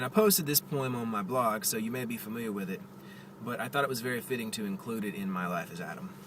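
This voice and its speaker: With a Southern US accent, a man speaks at a very fast pace and medium pitch, his voice making very wide pitch swings over noticeable background noise. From US South. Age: 30s. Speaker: poet. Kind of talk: casual vlog; poetry reading. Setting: in a car. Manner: halting.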